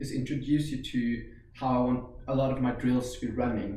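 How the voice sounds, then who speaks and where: Audible room echo surrounds a man of medium pitch who speaks with a Norwegian accent. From Norway. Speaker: karate instructor. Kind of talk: instructional tutorial. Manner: casual, hesitant with fillers.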